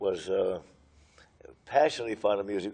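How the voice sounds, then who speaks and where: A man with an American accent has a dark, mellow tone, a fairly low pitch and ordinary pitch variation. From Los Angeles, California. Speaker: retired musician and choir director. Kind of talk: oral history interview. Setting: historic train station. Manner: halting, frequent uh fillers.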